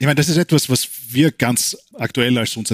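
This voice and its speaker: A man speaks with an Austrian accent and ordinary pitch variation. The sound is dry and close with no echo. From Austria, Weinviertel (Lower Austria). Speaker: neurologist and researcher. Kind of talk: interview. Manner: halting, many repetitions.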